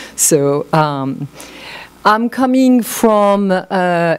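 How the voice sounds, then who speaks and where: A woman speaks with a French accent. Her pace is very slow. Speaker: art historian and academic. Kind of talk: conference talk.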